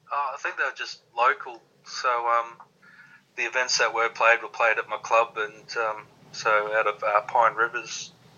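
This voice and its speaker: A man speaks with an Australian accent. His pace is moderate and his intonation flat and monotone. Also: medium pitch for a man. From Australia (Queensland). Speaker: darts player. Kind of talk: interview. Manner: halting.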